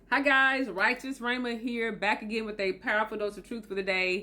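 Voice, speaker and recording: Speaking at a moderate pace, a woman with a Southern US accent has a fairly high pitch, fairly even intonation and a bright, sharp tone. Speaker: motivational video host. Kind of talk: motivational talk to camera.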